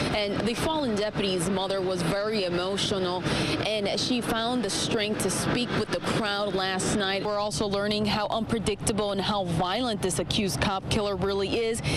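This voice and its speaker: A woman talks at a moderate pace with hardly any pauses, in a medium pitch with fairly even intonation and very even loudness. Noticeable background noise is present. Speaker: TV news reporter. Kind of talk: TV news field report.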